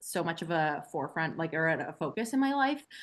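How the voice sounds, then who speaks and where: A woman's plain, everyday voice with a Canadian accent, fairly low in pitch, at a moderate pace over a quiet background. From Canada, central Alberta. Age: 20s. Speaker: trail running guide. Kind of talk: casual interview chat.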